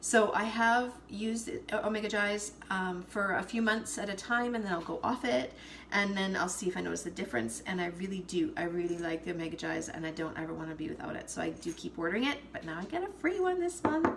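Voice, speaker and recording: At a very fast pace, a woman with a medium pitch makes very wide pitch swings, with noticeable background noise and audible room echo. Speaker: essential oils seller. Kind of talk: casual live video chat.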